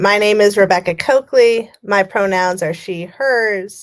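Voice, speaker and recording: The speaker has a Californian accent. Pitch varies in an ordinary way. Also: woman. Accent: General American (Californian). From US West Coast, California Bay Area. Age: 40s. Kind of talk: keynote speech. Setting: virtual conference, remote.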